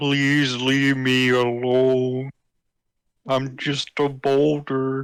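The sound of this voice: A man's gravelly, put-on character voice at medium pitch, with monotone, flat intonation and a very slow pace.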